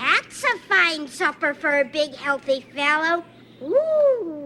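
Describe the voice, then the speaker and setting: A put-on character voice, female-sounding and high-pitched. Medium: short film.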